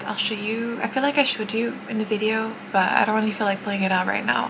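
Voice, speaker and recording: Noticeable background noise sits behind a soft-spoken woman. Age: 20s. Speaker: Twitch streamer. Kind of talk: casual vlog talk to camera. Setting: outdoors, street noise. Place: home room. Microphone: phone near.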